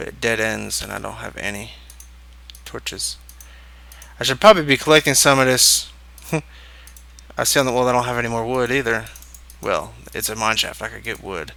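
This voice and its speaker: A quiet male voice at a fairly quick pace, with long, frequent pauses and big swings in loudness. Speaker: gaming video creator. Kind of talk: let's play commentary.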